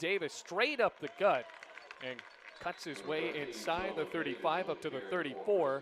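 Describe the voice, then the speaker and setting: An energetic man's voice at a fairly high pitch, with noticeable background noise. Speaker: play-by-play sports broadcaster. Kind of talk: football play-by-play call. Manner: fast, energetic.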